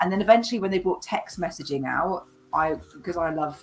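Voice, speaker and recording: A woman with a British accent speaks at a moderate pace, her pitch varying in an ordinary way. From Britain. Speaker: spiritual medium and card reader. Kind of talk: casual chat. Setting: live video stream.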